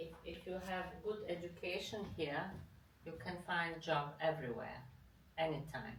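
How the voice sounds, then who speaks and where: A woman's fairly low voice with a Bosnian accent, ordinary pitch variation, and audible room echo. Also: fairly slow pace. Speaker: interviewee. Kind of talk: casual chat over a meal. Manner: halting.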